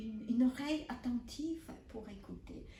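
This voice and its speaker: A woman with a Polish accent talks in a high pitch with ordinary pitch variation. Her tone is dark and mellow, and the room echo is audible. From Poland. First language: Polish (speaking French). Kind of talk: spiritual teaching. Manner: halting, repeats words.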